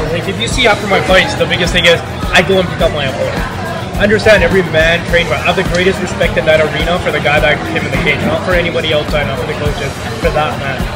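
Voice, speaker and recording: Loud music plays in the background as a man talks at a very fast pace. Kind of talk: interview answer. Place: bar. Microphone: phone near.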